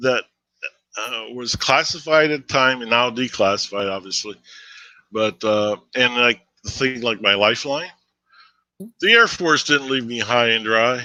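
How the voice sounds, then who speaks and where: This man talks at a moderate pace with medium pitch and ordinary pitch variation. His tone is bright and sharp against a quiet background. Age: 60s. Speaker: retired air force veteran. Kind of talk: interview. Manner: halting.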